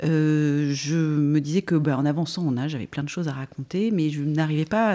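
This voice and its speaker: This woman has a very deep, low pitch and a dark, mellow tone, with ordinary pitch variation. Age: 50s. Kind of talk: interview. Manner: halting.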